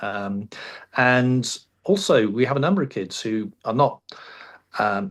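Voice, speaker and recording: A man with an English accent talks at a fairly slow pace, leaving long, frequent pauses. His pitch is medium and his intonation lively. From England. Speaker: high school radio teacher. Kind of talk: interview. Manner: hesitant, many fillers.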